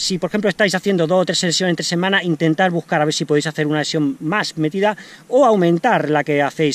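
A man talks at a very fast pace and high pitch. His pitch varies in an ordinary way, and the sound is dry with no echo. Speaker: trail runner vlogger. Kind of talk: casual vlog chat with training advice. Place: open country. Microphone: phone near.

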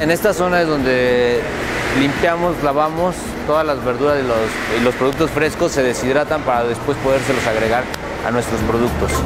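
The man's pitch moves in an ordinary way. Behind his voice, music is playing. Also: moderate pace. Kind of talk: guided tour commentary. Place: factory.

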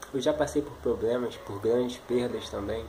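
Over light background noise, a man talks in a Brazilian accent. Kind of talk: preacher exhortation, encouraging sermon-like address to viewer. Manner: earnest, warm, pleading; steady, urging, repetitive. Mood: earnest, compassionate. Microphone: webcam.

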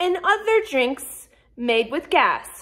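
A woman's extremely high voice with a bright, sharp tone, an American accent, very wide pitch swings, a very slow pace and a quiet background. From US South. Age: 20s. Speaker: YouTuber. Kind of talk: tutorial. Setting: at home, kitchen. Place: kitchen. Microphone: phone near.

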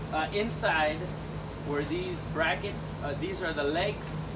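A man speaks at a very slow pace. Loud background noise runs underneath. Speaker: diy reviewer. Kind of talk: tutorial. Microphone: camera far.

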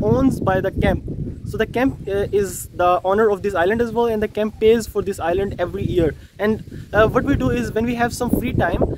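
Noticeable background noise surrounds a man whose voice has a dry sound with no echo. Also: ordinary pitch variation, fairly quick pace. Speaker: camp counselor vlogger. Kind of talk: casual vlog chat. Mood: cheerful, enthusiastic. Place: waterside. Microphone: phone near.

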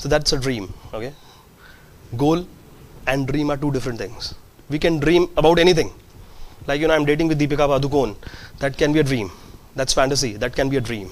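Speaking at a very fast pace yet with long, frequent pauses, a man uses a fairly high pitch and ordinary pitch variation. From India. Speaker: entrepreneur, event management company founder; guest. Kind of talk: guest lecture to students. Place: hall. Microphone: lapel.

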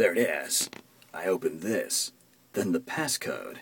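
Putting on a character voice, a man speaks slowly at a low pitch with big pitch swings. There is vocal fry and a slightly husky edge.

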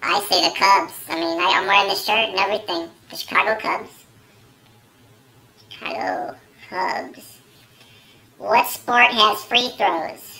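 Using a put-on character voice, a man projects loudly at a high pitch, moving at a fairly slow pace with long, frequent pauses. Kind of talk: comedy sketch to camera. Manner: casual, hesitant.

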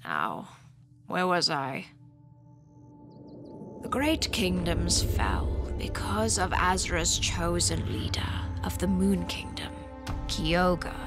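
A cartoonish character voice, low-pitched and very slow, over clear music in the background. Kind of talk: legend storytelling.

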